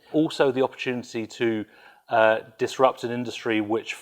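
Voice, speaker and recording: A man with a British accent speaks at a medium pitch. His intonation stays fairly even, and the background is quiet. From UK. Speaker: business executive. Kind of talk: interview. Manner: hesitant, many fillers.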